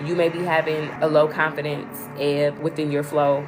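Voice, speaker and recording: Noticeable background noise sits behind a woman's very deep, low voice. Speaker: spiritual teacher / livestream host. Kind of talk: livestreamed teaching talk. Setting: livestream. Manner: fast; conversational, repetitive.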